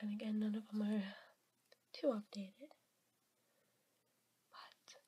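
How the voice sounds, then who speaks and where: The speaking pace is fairly slow. This voice is soft-spoken. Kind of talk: ASMR show-and-tell video.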